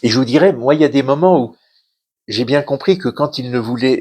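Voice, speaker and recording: Over a quiet background, a man talks at a moderate pace in a fairly high voice with ordinary pitch variation. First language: Yiddish (speaking French). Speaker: author, son of a Holocaust survivor. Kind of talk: interview talk at a cultural centre conference. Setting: conference hall with audience. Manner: halting, many hesitations and repetitions.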